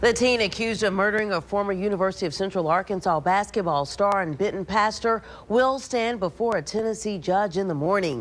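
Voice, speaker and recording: At a fairly quick pace, a woman with an unremarkable speaking voice talks at medium pitch with ordinary pitch variation. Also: hardly any pauses. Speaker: television news anchor and reporter. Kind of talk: news anchor delivery, reading headlines.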